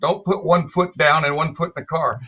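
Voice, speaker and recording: Talking at a fairly quick pace, a man has a fairly high voice with a bright, sharp tone. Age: 70s. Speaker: classic car event organizer. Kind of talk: panel discussion.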